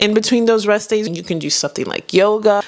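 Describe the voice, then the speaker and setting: A woman speaks in an animated tone with a fairly high pitch. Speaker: fitness YouTuber. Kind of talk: casual vlog monologue.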